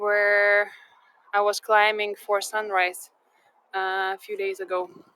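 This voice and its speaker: In a Lithuanian accent, a woman speaks with a bright, sharp tone. Her delivery is very slow, with monotone, flat intonation. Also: medium pitch for a woman. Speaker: live tour guide. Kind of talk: live-streamed walking tour with viewer chat. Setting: outdoors in sand dunes. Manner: halting, many fillers.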